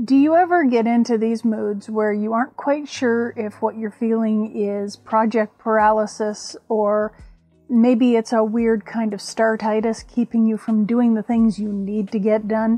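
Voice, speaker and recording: A woman speaks with fairly even intonation at a fairly slow pace. Faint music plays in the background. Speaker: crafting vlogger. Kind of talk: casual vlog chat. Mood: humorous, self-deprecating. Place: home room.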